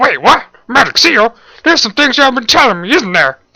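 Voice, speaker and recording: In a put-on character voice, a man speaks extremely high and very fast, with lively intonation and very even loudness. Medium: read story. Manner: impatient, sarcastic.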